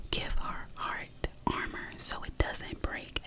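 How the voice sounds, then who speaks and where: The words are whispered very slowly. Behind them is noticeable background noise. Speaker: ASMR creator. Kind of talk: reading a book blurb aloud. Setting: studio, close microphone. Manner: whispered, soft-spoken.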